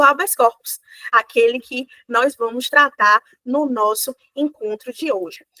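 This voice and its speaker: A woman with a Bahian accent speaks in a high, raised, projected voice with a bright, sharp tone and lively intonation. Her moderate-paced delivery has a dry, close sound with no echo. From Bahia, Brazil. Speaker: law professor. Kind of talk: lecture. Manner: many filler hesitations (é).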